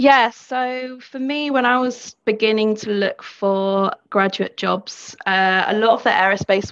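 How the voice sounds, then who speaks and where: Against a quiet background, a woman with a London accent talks at a fairly slow pace with fairly even intonation. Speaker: engineering graduate. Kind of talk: webinar interview.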